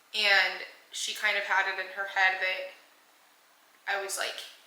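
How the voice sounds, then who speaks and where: Amid noticeable background noise and audible room echo, a woman with a medium pitch speaks at a moderate pace. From Panama, then San Antonio, Texas. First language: Spanish. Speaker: vlogger. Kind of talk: personal storytelling. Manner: casual with fillers.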